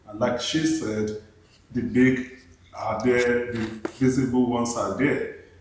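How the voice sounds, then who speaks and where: A man with a medium-pitched voice speaks at a fairly slow pace, using fairly even intonation and long, frequent pauses. The recording carries audible room echo and noticeable background noise. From Nigeria. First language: a Nigerian language, not English. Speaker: panel guest on grief and trauma. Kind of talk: podcast panel discussion.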